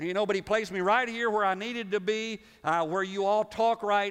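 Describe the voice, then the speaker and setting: Speaking at a fairly quick pace, a man with a Southern US accent talks in a high pitch. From US South. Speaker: pastor. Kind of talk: sermon. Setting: church. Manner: animated.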